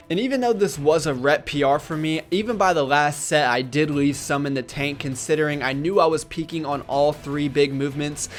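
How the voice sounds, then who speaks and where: A man's fairly high voice at a fairly quick pace, with ordinary pitch variation and music in the background. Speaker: fitness vlogger. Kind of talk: vlog narration. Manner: fast; casual.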